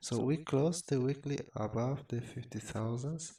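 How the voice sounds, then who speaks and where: Quiet and fairly slow, a man speaks in a dark, mellow tone. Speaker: crypto trader and market commentator. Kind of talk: chart analysis tutorial. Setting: at home, late at night. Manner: quiet, keeping voice down; halting, many fillers and repeats.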